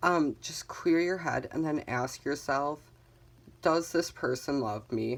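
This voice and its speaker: Delivered at a very slow pace, the speech comes through a very clean recording with a silent background. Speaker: tarot reader. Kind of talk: tarot reading. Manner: casual, conversational.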